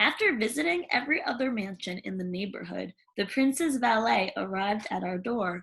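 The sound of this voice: A woman's put-on character voice at a medium pitch and moderate pace, with lively intonation, vocal fry, a fairly bright tone and a slightly husky edge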